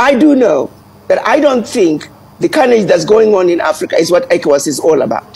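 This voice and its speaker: Using very wide pitch swings, a woman speaks at a moderate pace. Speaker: news guest commentator. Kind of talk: interview answer. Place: home room. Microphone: earbuds.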